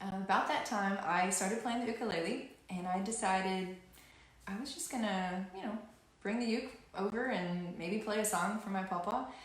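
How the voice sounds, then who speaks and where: In a Southern US accent, a woman talks at a moderate pace amid noticeable background noise and audible room echo. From Louisiana. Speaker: singer and ukulele musician. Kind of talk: live-stream performance chat and storytelling. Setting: home office, live stream. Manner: halting.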